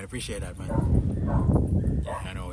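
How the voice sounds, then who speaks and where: A voice with a Jamaican accent, audible room echo and noticeable background noise. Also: man. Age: 20s. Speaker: fitness YouTuber. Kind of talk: casual chat. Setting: outdoors. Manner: halting.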